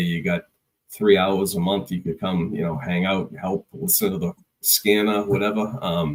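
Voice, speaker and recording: A moderate pace in a Boston accent. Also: man. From Boston area, Massachusetts. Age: 30s. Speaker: construction executive and call firefighter. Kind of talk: casual podcast interview.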